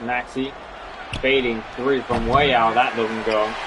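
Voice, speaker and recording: Over noticeable background noise, a man speaks at a moderate pace. His medium-pitched voice is monotone, with flat intonation. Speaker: video game streamer. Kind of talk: live commentary.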